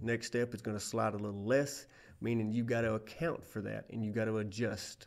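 A man at medium pitch with a Southern US accent, fairly quick pace and fairly even intonation, on a very clean recording with a silent background. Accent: Southern US accent, noted by himself. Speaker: safety instructor, former lineman. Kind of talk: training presentation. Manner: casual, folksy.

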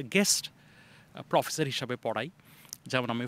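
A man speaks in a bright, sharp tone. The sound is dry, with no echo. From Bangladesh, Dhaka; Bangladesh. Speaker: university professor. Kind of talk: interview. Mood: friendly, smiling. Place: open country. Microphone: handheld.

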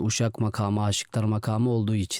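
The voice has a dark, mellow tone and moves at a fairly quick pace. The sound is dry and close with no echo, on a very clean recording with a silent background. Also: man. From Van, eastern Turkey. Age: 20s. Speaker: imam. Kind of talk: interview. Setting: studio.

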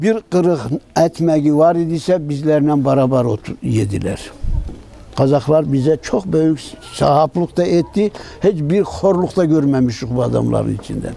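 A man with an Ahiska accent and a fairly high pitch, lively intonation, a fairly slow pace, light background noise. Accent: Ahiska Turkish dialect. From Ahiska (Meskhetian Turk). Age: old. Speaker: deportation survivor. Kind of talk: interview answer, personal testimony. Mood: sorrowful, grateful remembrance. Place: open country.

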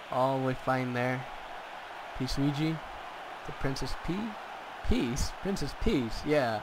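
Over noticeable background noise, a man speaks at a very slow pace with long, frequent pauses. His pitch is medium and varies in an ordinary way. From Mexico. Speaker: gaming commentator. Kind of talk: live commentary. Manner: animated.

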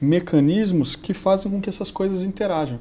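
Ordinary pitch variation colors a man's voice as he talks fairly quickly. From Brazil. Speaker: corporate executive; guest. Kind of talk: interview. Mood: calm, explanatory. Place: studio. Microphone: lapel.

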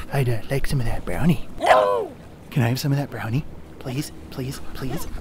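A man puts on a character voice at medium pitch and a moderate pace. Loud background noise fills the clip.

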